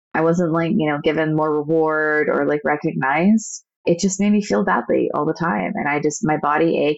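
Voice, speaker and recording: A woman with an American accent speaks in a plain, everyday voice at a fairly low pitch, fairly quick in pace, with ordinary pitch variation. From United States. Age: 30s. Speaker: podcast co-host, administrative assistant. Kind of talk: casual chat.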